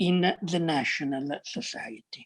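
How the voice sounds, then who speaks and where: In a quiet background, a woman with an Italian accent speaks very slowly and somewhat breathily. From Italy. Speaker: academic panelist. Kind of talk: academic talk. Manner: halting, many fillers.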